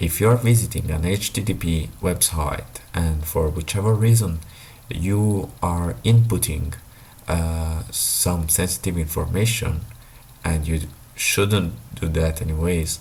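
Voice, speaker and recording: Speaking at a fairly slow pace with a non-native accent, a man with a very deep, low voice and ordinary pitch variation talks over background music, with audible room echo. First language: not English. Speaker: tech YouTuber. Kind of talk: explainer monologue. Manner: halting, many fillers.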